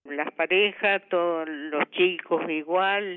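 A woman's fairly low voice in an Argentine Litoral accent, with fairly even intonation. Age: 80s+. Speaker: grandmother, fire victim. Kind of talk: interview testimony. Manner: halting.

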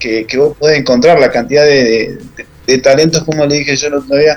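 In a plain, everyday voice, a man talks at a fairly quick pace with a fairly high pitch. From Argentina, Rafaela (Santa Fe province). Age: 30s. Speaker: women's rugby coach and organizer. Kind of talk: interview.

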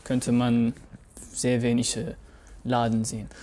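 Speaking with an Arabic accent, a man has a medium pitch and a dark, mellow tone. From Syria (Raqqa). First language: Arabic (speaking German). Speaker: podcast co-host. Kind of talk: casual chat. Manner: halting.

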